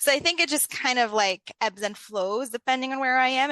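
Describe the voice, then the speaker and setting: A woman projects a raised voice with a bright, sharp tone and high pitch. The sound is dry and close, with no echo. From Lebanon. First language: Arabic. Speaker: leadership coach. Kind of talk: interview conversation. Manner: conversational, uses many fillers.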